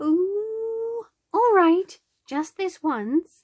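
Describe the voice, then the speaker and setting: A woman puts on a character voice. It is extremely high in pitch, with a gentle tone. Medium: read story. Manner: gentle, friendly, polite.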